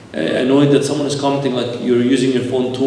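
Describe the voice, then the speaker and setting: There is noticeable background noise and audible room echo. The man talks at a medium pitch. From Egypt. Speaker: priest giving a lecture. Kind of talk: lecture.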